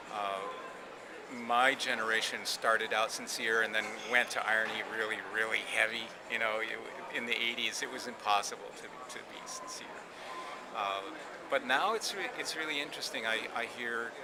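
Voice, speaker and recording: A man speaks at a medium pitch with fairly even intonation and long, frequent pauses, over noticeable background noise and audible room echo. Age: 60s. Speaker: craft artist speaking on the field's generations. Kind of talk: interview monologue. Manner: halting, with frequent repetitions and fillers.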